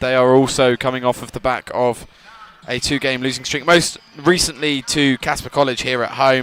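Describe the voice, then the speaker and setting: With music playing in the background, a man with an English accent talks at a moderate pace and a medium pitch. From England. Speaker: student sports commentator. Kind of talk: live commentary. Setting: commentary booth.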